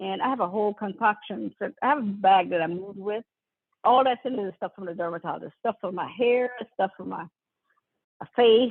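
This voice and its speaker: Animated in tone, a woman speaks at a fairly quick pace and medium pitch with ordinary pitch variation. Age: 50s. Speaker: podcast host. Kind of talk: casual chat.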